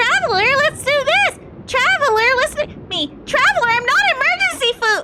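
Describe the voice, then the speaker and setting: An extremely high-pitched put-on character voice at a moderate pace, with light background noise. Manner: bright, cutesy.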